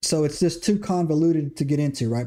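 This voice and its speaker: At a moderate pace, a man with an American accent speaks in a dark, mellow tone at a fairly high pitch with ordinary pitch variation, on a very clean recording with a silent background. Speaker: podcast host. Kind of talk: livestream lecture on scripture. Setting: live stream. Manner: repetitive filler 'right?', stumbling.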